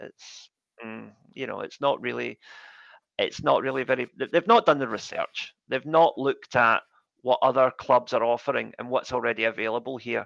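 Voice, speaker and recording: Over a quiet background, a man with a Scottish accent speaks at a moderate pace with big swings in loudness, in a dry, close sound with no echo. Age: 40s. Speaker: football fan, English teacher. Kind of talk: casual interview.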